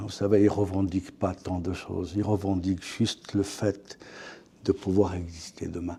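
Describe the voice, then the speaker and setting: The voice is somewhat breathy with a dark, mellow tone, moving at a fairly slow pace. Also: man. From France. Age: 60s. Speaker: author. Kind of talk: interview. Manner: hesitant, repeats words.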